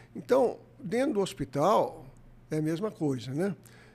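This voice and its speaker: With very wide pitch swings, the delivery unfolds at a fairly slow pace. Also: man. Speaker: anesthesiologist. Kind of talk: interview.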